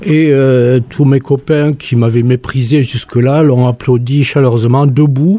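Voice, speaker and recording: A man speaks at a fairly slow pace and a medium pitch, with noticeable background noise. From southwestern France. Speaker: sculptor and retired art teacher. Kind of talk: radio interview.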